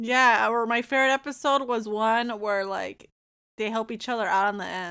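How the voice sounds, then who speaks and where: A woman talks at a fairly quick pace in a normal speaking voice with fairly high pitch. The recording is very clean, with a silent background. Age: 20s. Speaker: podcast guest reviewing movies. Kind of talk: casual chat.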